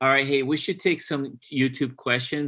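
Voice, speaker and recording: With a monotone, flat intonation, this man moves along at a fairly quick pace. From Brazil, moved to New Jersey at eleven. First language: Portuguese. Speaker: pastor. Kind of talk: live-stream Q&A, casual. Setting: live video stream.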